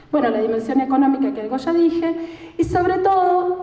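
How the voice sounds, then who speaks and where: A woman at a fairly slow pace with very wide pitch swings, plus audible room echo and noticeable background noise. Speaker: lecturer on gender and care policy. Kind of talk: lecture.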